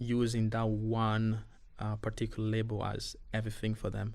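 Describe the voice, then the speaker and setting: A man with a non-native accent, medium pitch, moderate pace and monotone, flat intonation, on a very clean recording with a silent background. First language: not English. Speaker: refugee youth boxing coach. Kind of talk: podcast interview. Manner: halting, with many repetitions and fillers.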